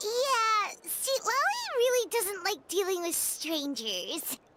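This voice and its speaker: A squeaky, put-on character voice sits at an extremely high pitch. The pace is fairly slow. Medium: video game. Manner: chatty, blunt.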